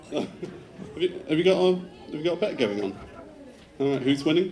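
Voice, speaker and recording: Crowd noise in the background and audible room echo surround a man speaking with a Devon accent. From England, Devon. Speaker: groom. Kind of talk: wedding speech. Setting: wedding reception with audience. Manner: fast.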